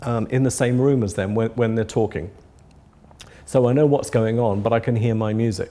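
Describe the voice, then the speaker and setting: Speaking at a moderate speed, a man talks with an English accent. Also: medium pitch for a man, fairly even intonation. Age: 60s. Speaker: audio company founder. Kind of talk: interview. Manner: halting, many repetitions.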